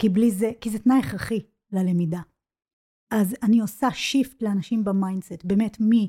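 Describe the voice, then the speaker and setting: A woman speaks at a moderate pace in a medium pitch, her somewhat breathy voice carrying a dark, mellow tone and ordinary pitch variation. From Israel, child of English-speaking parents. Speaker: business English coach. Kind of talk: casual interview. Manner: halting, many false starts.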